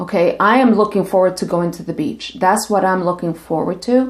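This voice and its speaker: At medium pitch and a moderate pace, a woman talks in an unremarkable speaking voice with ordinary pitch variation. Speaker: licensed marriage and family therapist. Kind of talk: casual talk to camera.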